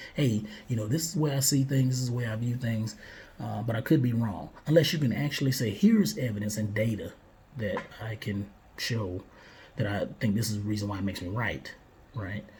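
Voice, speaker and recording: With an American accent, a man talks fairly quickly at a medium pitch, somewhat breathy, with ordinary pitch variation. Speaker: father vlogger. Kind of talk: monologue to camera, reflective talk. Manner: hesitant, many fillers and restarts.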